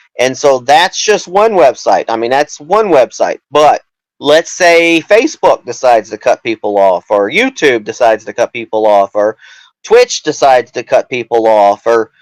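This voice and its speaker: A loud man with a fairly high pitch makes very wide pitch swings, the sound dry and close with no echo. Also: moderate pace. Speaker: political candidate. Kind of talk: interview. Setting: live show.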